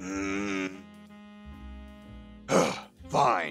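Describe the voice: Faint music plays behind a man doing a cartoonish character voice, low in pitch and very slow. His tone is fairly bright and his intonation lively.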